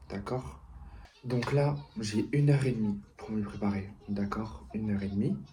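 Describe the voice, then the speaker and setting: A soft-spoken man talks with a fairly low pitch, very wide pitch swings, and big swings in loudness. Audible room echo surrounds his voice. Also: fairly slow pace. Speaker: vlogger. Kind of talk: vlog.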